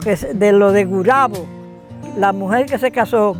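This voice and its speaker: At a fairly slow pace, a man talks while music runs in the background. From Dominican Republic, Cibao region. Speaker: farmer. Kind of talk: interview answer, oral history.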